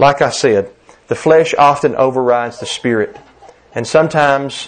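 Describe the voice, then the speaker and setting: This man has a Southern US accent, a medium pitch, ordinary pitch variation and a moderate pace. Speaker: preacher. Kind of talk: sermon. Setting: church.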